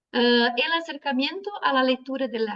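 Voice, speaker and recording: In a Brazilian accent, a woman speaks fairly slowly at a high pitch with ordinary pitch variation. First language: Portuguese (speaking Spanish). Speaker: social work professor. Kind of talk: academic panel talk. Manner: reading from notes.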